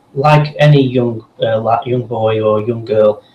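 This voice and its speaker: A man with a medium pitch and ordinary pitch variation speaks fairly slowly while noticeable noise sits in the background. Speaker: voice actor. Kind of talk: casual interview.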